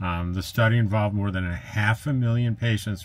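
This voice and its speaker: A man speaks at a moderate pace with a fairly low pitch and ordinary pitch variation. His voice is somewhat breathy. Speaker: RV travel vlogger. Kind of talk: casual vlog chat. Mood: upbeat, sharing good news. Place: home room.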